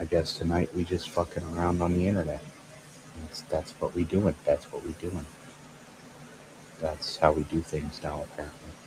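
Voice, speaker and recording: Quiet and very deep, a man's voice moves at a moderate pace in a monotone, flat intonation with long, frequent pauses, over noticeable background noise. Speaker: streamer. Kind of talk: casual chat. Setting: at home, people sleeping nearby.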